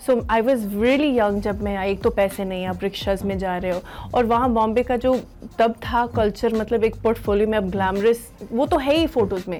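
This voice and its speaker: Music plays behind a woman speaking at a moderate pace. Her pitch is fairly high, with ordinary variation. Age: 40s. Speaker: actress. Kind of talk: interview.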